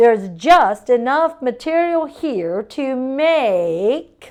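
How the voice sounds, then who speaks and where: A woman's put-on character voice, high-pitched with very wide pitch swings at a very slow pace, against a quiet background. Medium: read story. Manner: slow, musing.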